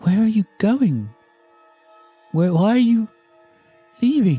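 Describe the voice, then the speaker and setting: A man does a put-on character voice, pitched high for a man, with lively intonation at a fairly slow pace. The sound is dry and close with no echo, and faint music plays in the background. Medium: actual play. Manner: wheedling, then menacing.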